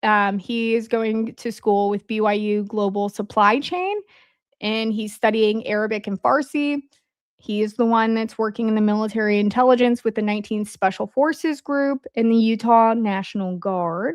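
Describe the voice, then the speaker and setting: A woman's fairly high voice with an Indiana accent, ordinary pitch variation and a moderate pace, in a dry, close sound with no echo against a quiet background. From Indiana, US Midwest. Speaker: podcast host. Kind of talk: casual livestream commentary. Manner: conversational, hesitant with fillers.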